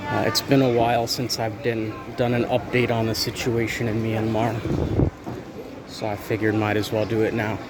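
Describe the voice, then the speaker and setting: A man with an American accent talks at a moderate pace and medium pitch in monotone, flat intonation. Audible room echo and noticeable background noise fill the recording. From United States. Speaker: expat vlogger, military veteran. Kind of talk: casual vlog monologue. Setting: outdoors, walking down a street.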